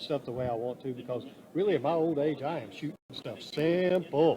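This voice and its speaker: With noticeable background noise behind him, a man with a fairly high voice talks at a fairly quick pace. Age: 60s. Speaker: fishing TV show host and producer. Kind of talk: casual interview chat. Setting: interview booth at a fishing expo. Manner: talkative.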